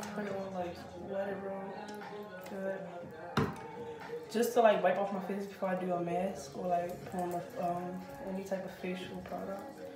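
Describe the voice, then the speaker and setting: A woman talks at a moderate pace with long, frequent pauses. Clear music plays behind her, and there is audible room echo. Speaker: skincare vlogger. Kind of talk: casual vlog chat, tutorial. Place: home room. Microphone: phone near.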